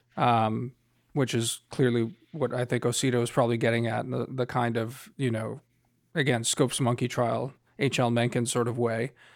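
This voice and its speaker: A plain, everyday voice at a moderate pace. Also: man. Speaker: podcast host and foreign policy analyst. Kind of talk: casual chat. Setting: remote recording over headphones.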